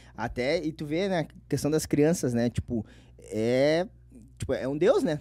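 A man with a southern Brazilian accent and a dark, mellow tone, at a fairly slow pace with ordinary pitch variation and big swings in loudness, dry sound with no echo and a quiet background. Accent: gaúcho Brazilian Portuguese. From Porto Alegre area, Rio Grande do Sul, Brazil; Rio Grande do Sul, Brazil. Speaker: internet comedian; podcast guest. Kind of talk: casual chat. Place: studio. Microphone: studio mic.

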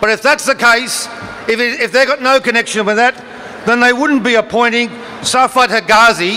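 With light background noise behind him, a man projects a raised, extremely high voice in fairly even intonation. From Australia. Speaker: politician addressing a protest rally. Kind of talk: parliamentary-style political oratory at a protest rally. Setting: outdoor rally with crowd. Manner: forceful, declamatory; formal, measured, argumentative. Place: street. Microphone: podium.

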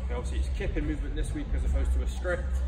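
A man talks over loud music in the background. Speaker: fitness coach. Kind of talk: workout briefing tutorial. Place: gym. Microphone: camera far.

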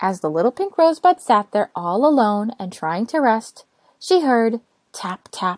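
Against a quiet backdrop, plain reading aloud

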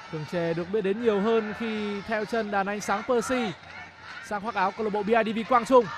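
With an animated, excited tone, a man talks at a high pitch over noticeable background noise. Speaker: football commentator. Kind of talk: live sports commentary on a futsal match, play-by-play with replays. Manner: fast, animated play-by-play delivery that builds to excited calls at goals and penalties; rapid, tense, dramatic.

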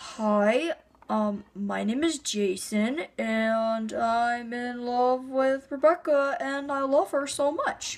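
A woman's put-on character voice, high-pitched and very slow, with hardly any pauses. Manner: serious, earnest.

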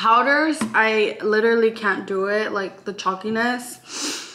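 A woman speaking at a fairly slow pace. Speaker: lifestyle vlogger. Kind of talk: casual vlog chat. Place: kitchen. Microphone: camera far.

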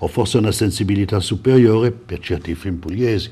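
A man's somewhat breathy, fairly low voice with ordinary pitch variation. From Italy (Florence); Italy. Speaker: film festival director; guest. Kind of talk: TV interview. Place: studio. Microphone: lapel.

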